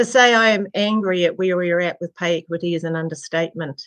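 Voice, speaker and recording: A woman with a New Zealand accent at a fairly quick pace and fairly even intonation. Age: 70s. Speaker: retired nurse and midwife, community advocate. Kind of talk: public submission read from prepared text.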